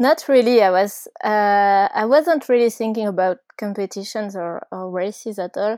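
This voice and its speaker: A woman's fairly high voice with a French accent, dark and mellow in tone, at a moderate pace with hardly any pauses and ordinary pitch variation, in a dry, close sound with no echo over a very clean, silent background. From France, Ardèche. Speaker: mountain bike racer. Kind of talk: interview. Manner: hesitant, many fillers.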